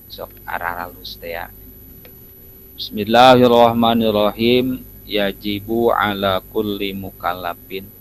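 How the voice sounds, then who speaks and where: Here a man speaks. His pace is very slow. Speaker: religious teacher. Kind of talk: religious lecture. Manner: halting.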